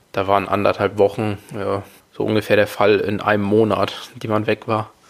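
The man's delivery is flat and monotone. He keeps a moderate pace. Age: 20s. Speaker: podcast host, father. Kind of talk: casual solo monologue.

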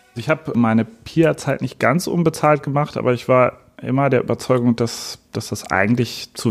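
A man at a moderate pace, his intonation fairly even.

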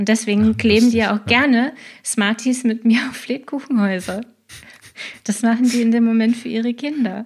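A normal speaking voice from a woman, fairly high in pitch, at a moderate pace with fairly even intonation. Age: 30s. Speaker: scrum master and agile coach. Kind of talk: casual interview.

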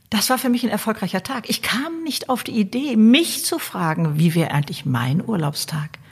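An animated tone with very wide pitch swings, a moderate pace and hardly any pauses, over noticeable background noise. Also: woman, fairly high pitch for a woman. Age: 70s. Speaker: author and YouTuber. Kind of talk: interview.

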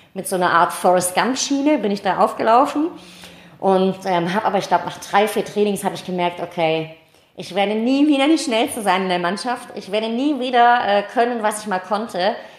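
Over noticeable background noise, a woman with a medium pitch talks at a fairly quick pace with lively intonation. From Tübingen, southwest Germany. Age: 30s. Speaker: amateur athlete. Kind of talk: interview. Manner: hesitant with many fillers.

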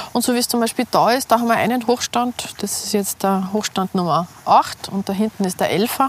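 A woman talks at a moderate pace with medium pitch and ordinary pitch variation. Noticeable background noise runs throughout. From Austria, Salzburg city. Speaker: hunter and small food producer. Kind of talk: casual interview. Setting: outdoors walking in hunting ground.

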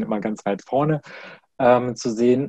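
A man's medium-pitched voice with a dark, mellow tone, ordinary pitch variation and a moderate pace, recorded dry and close with no echo. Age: 30s. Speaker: corporate trainer. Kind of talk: interview.

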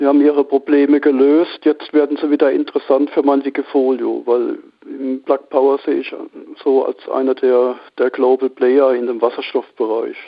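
This man talks at a moderate pace in a fairly high voice. His intonation stays monotone and flat. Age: 50s. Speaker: amateur stock trader. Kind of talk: interview.

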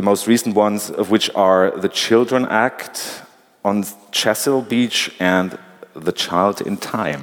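There is noticeable background noise as a man with a German accent speaks at a very slow pace. His pitch is fairly low, with ordinary pitch variation. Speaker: interviewer, culture editor. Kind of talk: moderated interview. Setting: stage with audience.

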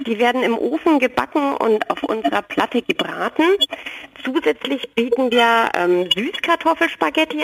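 A fairly high-pitched woman at a moderate pace, with lively intonation and noticeable background noise. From Franconia, Nuremberg. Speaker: food truck owner. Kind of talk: interview.

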